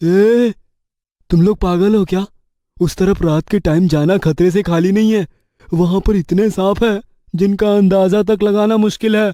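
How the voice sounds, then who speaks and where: Doing a cartoonish character voice, a man talks in a high pitch at a moderate pace. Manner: brusque.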